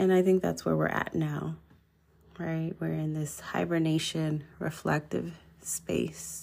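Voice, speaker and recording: Calm and fairly slow, a woman speaks on a very clean recording with a silent background. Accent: American. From Los Angeles, California. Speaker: podcast host, social worker and therapist. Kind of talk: solo monologue, relaxed sleep-friendly talk. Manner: slow, calm, reflective.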